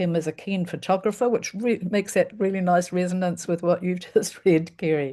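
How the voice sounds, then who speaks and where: Speaking with a New Zealand accent, a woman has a dark, mellow tone at medium pitch with fairly even intonation. She keeps a moderate pace with hardly any pauses against a quiet background. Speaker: event host. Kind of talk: casual chat; introduction of a reader. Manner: halting.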